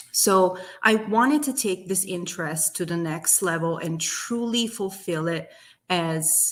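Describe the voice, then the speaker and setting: A woman with an Italian accent speaks at a fairly slow pace in a passionate tone. Her pitch sits in the medium range with ordinary variation. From southern Italy, near Naples. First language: Italian (Neapolitan). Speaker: business owner. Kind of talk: interview testimony.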